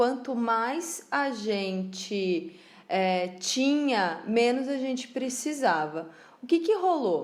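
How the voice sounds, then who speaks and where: A woman with a São Paulo interior accent, lively intonation and a very slow pace, with audible room echo. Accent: caipira accent from interior São Paulo. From interior of São Paulo state, Piracicaba. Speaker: podcast co-host, craft business. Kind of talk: casual chat.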